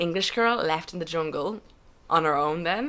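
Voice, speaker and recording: The voice has a bright, sharp tone and an Irish accent, moving at a moderate pace. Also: woman. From Ireland. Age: 20s. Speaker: podcast guest. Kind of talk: casual chat.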